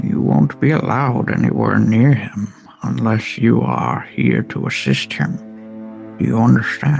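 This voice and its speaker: A man uses a put-on character voice at a fairly low pitch and a moderate pace. Clear music plays in the background. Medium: actual play. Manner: commanding, condescending.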